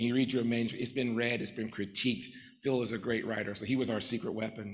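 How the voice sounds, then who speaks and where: A man talks at medium pitch with fairly even intonation. Room echo is audible. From Puerto Rico. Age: 60s. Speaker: physician and professor of medicine. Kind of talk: award acceptance speech.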